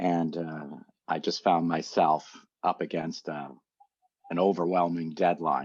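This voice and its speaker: In a very deep, low voice, a man speaks fairly slowly with monotone, flat intonation and long, frequent pauses. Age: 60s. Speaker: meditation teacher. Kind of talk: interview testimony.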